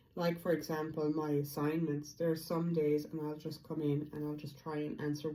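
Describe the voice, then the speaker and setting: The speaker's intonation is monotone and flat. Room echo is audible. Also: woman. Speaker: feng shui vlogger. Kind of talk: casual vlog monologue.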